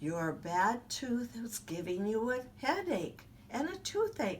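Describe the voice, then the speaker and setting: A woman does a put-on character voice at a fairly high pitch, with very wide pitch swings and a fairly slow pace. Clear background noise runs underneath. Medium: read story.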